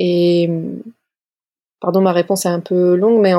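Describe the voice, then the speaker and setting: In a very clean recording with a silent background, a woman talks at a fairly slow pace in a flat monotone at medium pitch. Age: 30s. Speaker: love coach. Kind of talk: interview. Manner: hesitant, many fillers and repetitions.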